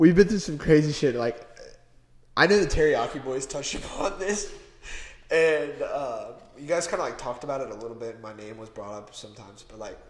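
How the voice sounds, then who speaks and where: A man with an American accent, fairly high in pitch, at a fairly quick pace, with very wide pitch swings and big swings in loudness, amid audible room echo and noticeable background noise. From US Midwest, Cincinnati. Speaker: car enthusiast guest. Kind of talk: casual chat. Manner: animated.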